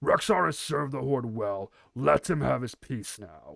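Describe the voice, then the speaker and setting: A man growls in a put-on character voice at a medium pitch. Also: moderate pace. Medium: read story. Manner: authoritative.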